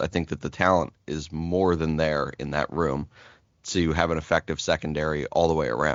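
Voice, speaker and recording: With vocal fry and a very deep, low pitch, a man speaks at a moderate pace using fairly even intonation. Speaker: sports podcast co-host. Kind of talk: casual chat. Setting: home office. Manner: halting.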